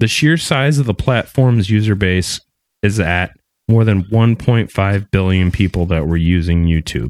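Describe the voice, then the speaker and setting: A man's normal speaking voice, fairly low in pitch, with lively intonation, very even loudness and a dry, close sound with no echo. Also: fairly slow pace. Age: 30s. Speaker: podcast host. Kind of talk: casual chat; reading aloud.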